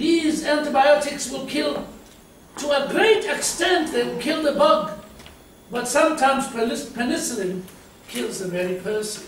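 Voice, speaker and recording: With audible room echo and light background noise, a man speaks at a fairly slow pace in an extremely high pitch, his tone animated and his intonation lively. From South Africa. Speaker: preacher. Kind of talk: sermon. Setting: church. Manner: animated, conversational preaching with amens and laughter. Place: church.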